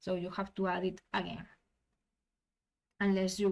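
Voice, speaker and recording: Speaking in a non-native accent, a woman talks at a fairly slow pace with a medium pitch and monotone, flat intonation. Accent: non-native English, self-described. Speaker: tabletop gaming tutorial creator. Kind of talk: software tutorial. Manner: halting, with frequent restarts.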